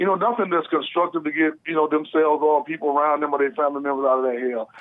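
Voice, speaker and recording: Speaking very fast with an American accent, a man uses a fairly high pitch, ordinary pitch variation and an animated tone. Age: 60s. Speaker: caller. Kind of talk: call-in talk show. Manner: animated, repetitive.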